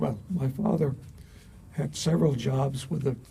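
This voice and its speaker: A man's fairly high-pitched voice, dark and mellow, with vocal fry, ordinary pitch variation and a fairly slow pace. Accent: American. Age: 80s+. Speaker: retired engineering society past president. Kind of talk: interview. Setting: university, on-site filmed interview.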